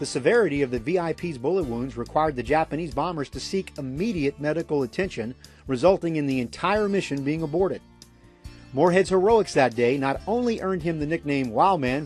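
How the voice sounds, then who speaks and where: Music plays in the background as a man speaks in a fairly high voice. His intonation is lively and his pace fairly quick. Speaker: documentary host / narrator. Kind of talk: documentary narration.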